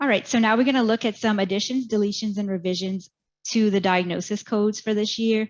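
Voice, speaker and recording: A woman speaks in a plain, everyday voice. Her pitch is medium, and the background is quiet. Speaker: medical coding educator. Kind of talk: webinar presentation.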